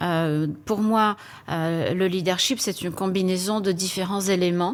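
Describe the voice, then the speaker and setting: Here a woman with a Polish accent talks at a fairly slow pace and medium pitch. Her intonation is fairly even. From Poland. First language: Polish (speaking French). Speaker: HR executive. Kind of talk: panel interview. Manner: hesitant, many fillers.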